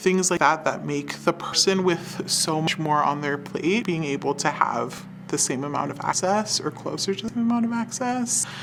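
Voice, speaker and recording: A fairly low-pitched woman's voice at a moderate pace, with ordinary pitch variation and music in the background. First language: Spanish. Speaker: health center staff. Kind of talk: documentary interview.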